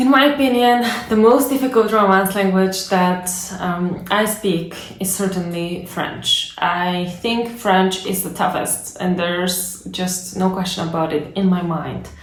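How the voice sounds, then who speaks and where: Over noticeable background noise and audible room echo, a woman speaks at a fairly slow pace with medium pitch and ordinary pitch variation. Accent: Bulgarian. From Bulgaria. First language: Bulgarian. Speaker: language learning youtuber. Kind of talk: casual explainer monologue. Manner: conversational, many fillers.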